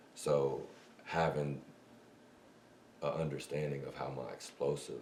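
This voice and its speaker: Recorded with audible room echo, a man speaks at a fairly slow pace. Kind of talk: casual chat. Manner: loud, projecting.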